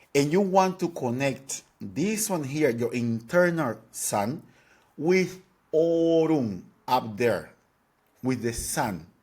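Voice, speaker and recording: A speaker with a Spanish accent talks at a very slow pace, the pitch swinging very widely. The recording is very clean, with a silent background. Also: man, fairly high pitch for a man. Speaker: dance teacher. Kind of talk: tutorial.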